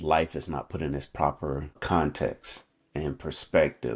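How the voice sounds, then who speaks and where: Vocal fry with monotone, flat intonation. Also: man. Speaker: coach sharing faith reflections. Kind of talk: unscripted devotional talk. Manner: halting, with ums and repetitions; casual, conversational.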